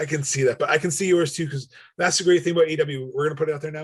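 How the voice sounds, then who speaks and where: The speaker talks at a very fast pace with a somewhat breathy quality. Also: man. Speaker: wrestling podcast co-host. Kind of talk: casual chat. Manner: animated.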